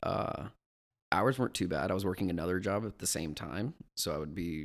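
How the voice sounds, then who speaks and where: A man speaks at a moderate pace, very deep and low, with vocal fry. The recording is very clean, with a silent background. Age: 20s. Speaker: actor and restaurant host. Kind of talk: interview answers.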